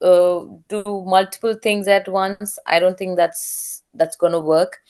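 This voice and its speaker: The speech comes at a very slow pace over a quiet background. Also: woman. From India. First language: not English. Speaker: aircraft maintenance engineer. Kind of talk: interview. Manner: halting.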